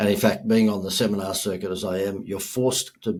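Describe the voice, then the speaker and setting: With an Australian accent, a man speaks fairly quickly in a fairly low pitch and a monotone, flat intonation. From Australia, Gold Coast. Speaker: marketing speaker and entrepreneur. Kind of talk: podcast interview.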